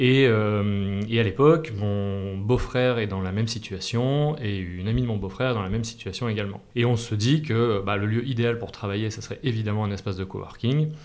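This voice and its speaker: Amid audible room echo, a man with a fairly low voice and ordinary pitch variation keeps a moderate pace with hardly any pauses. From Massif Central, France (Clermont-Ferrand). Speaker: entrepreneur and adventurer. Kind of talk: interview. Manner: hesitant with filler repetitions.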